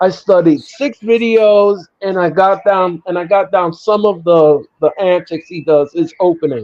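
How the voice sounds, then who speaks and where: Pitched high, a man speaks with a slight New York accent. His pace is fairly slow, with hardly any pauses and ordinary pitch variation. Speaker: wrestling show host. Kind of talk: casual chat; live watch-along commentary. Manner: animated.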